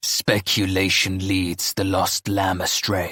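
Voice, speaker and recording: Using a put-on character voice, a man speaks at a very deep, low pitch. His delivery is fairly slow, with monotone, flat intonation. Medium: read story. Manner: formal, grave.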